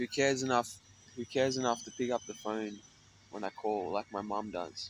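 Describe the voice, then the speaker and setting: In an Australian accent, a man speaks at a fairly quick pace with medium pitch and ordinary pitch variation. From Australia, Sydney (North Mead). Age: 30s. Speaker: homeless musician vlogger. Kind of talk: casual personal vlog monologue. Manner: rambling, hesitant with fillers.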